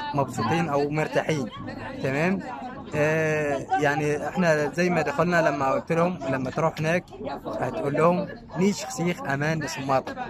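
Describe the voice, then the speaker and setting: Moderate pace and ordinary pitch variation, with crowd noise in the background and audible room echo. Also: man. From Siwa Oasis, Egypt. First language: Siwi Berber (Amazigh) (speaking Arabic). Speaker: local resident. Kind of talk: casual interview. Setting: outdoors at sunset. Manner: halting.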